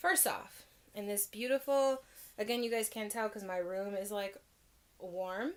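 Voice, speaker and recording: A woman speaks in an unremarkable speaking voice. Her pitch is fairly high, and her intonation is lively. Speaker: tea vlogger. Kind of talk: casual vlog review. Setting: filming at home in her room. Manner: chatty with many fillers.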